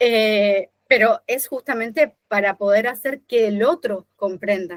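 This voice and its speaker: A woman's fairly high voice, very slow, with ordinary pitch variation and a dry, close sound with no echo. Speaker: designer. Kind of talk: casual chat.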